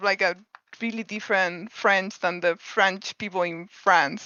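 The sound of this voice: With a clear, smooth, yet bright and sharp tone, a woman speaks at a fairly slow pace and fairly even intonation in a dry, close sound with no echo. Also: medium pitch for a woman.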